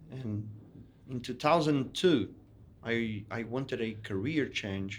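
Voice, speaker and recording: With a Portuguese accent, a man at a medium pitch speaks very slowly, his pitch varying in an ordinary way. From Brazil, São Paulo. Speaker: investment firm founder. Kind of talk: interview.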